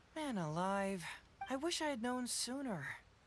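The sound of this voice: A man's put-on character voice, extremely high in pitch, with big pitch swings and a fairly slow pace.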